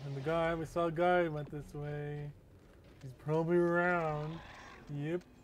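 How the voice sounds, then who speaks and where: A man talks at a fairly slow pace and fairly high pitch, in monotone, flat intonation with big swings in loudness. Audible room echo surrounds the voice. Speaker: gaming youtuber. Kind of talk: let's play commentary. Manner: casual, rambling thinking aloud.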